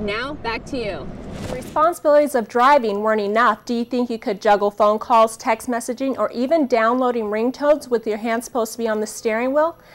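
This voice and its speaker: Fairly quick speech from a woman, fairly high-pitched, with noticeable background noise. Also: ordinary pitch variation. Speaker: broadcast journalist, TV news reporter. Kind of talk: TV news reporting, stand-ups and voiceover packages.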